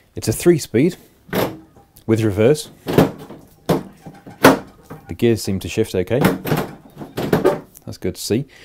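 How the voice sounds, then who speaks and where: Noticeable background noise sits under the recording. A man speaks at a fairly slow pace. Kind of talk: tutorial commentary. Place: garage.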